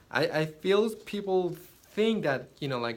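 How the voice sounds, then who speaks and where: With a non-native accent, a man speaks in very wide pitch swings, and audible room echo surrounds him. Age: 20s. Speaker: photographer and social media influencer. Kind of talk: unscripted vlog monologue. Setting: inside a yurt. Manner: halting, with repeated words.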